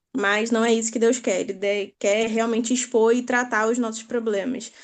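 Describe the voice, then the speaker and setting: A woman with a Rio de Janeiro accent speaks at a fairly high pitch over a quiet background. Her intonation is monotone and flat, her loudness very even. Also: moderate pace. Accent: carioca. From Brazil, Rio de Janeiro. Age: 20s. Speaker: participant in online prayer group. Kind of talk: testimony.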